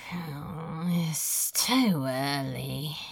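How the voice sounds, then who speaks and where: A raspy, put-on character voice at a middle pitch, with audible echo. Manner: drowsy, low.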